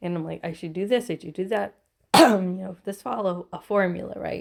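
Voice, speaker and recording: Using vocal fry, a woman talks at a moderate pace in a medium pitch with ordinary pitch variation. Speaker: tarot reader. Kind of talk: casual reflective monologue. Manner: emotional, conversational.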